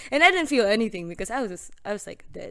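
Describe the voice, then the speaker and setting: A woman speaks with lively intonation at a medium pitch. She has a slight Filipino accent. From Philippines. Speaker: podcast guest. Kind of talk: casual chat.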